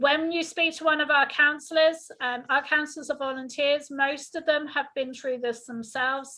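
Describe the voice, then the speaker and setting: Raising and projecting her voice, a woman speaks with a high pitch, a bright, sharp tone and fairly even intonation. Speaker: health insurance counselor. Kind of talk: informational presentation. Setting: video call. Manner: fast.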